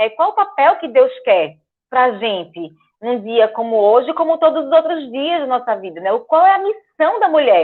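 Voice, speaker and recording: Her voice is high-pitched. The pitch moves up and down over a very wide range. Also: moderate pace. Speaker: guest speaker at church. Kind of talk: talk.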